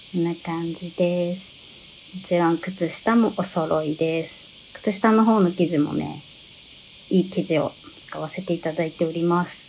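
A woman's fairly low-pitched, ordinary speaking voice at a fairly slow pace, with fairly even intonation and light background noise. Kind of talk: live stream product presentation. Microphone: phone near.

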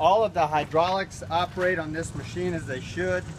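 Noticeable background noise sits under a man's speech. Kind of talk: product walk-around commentary. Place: street. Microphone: phone near.

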